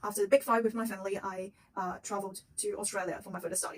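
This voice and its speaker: In a Chinese accent, a woman speaks at a very fast pace with a medium pitch. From China. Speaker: psychic intern and video blogger. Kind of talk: casual vlog introduction. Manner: halting, many fillers.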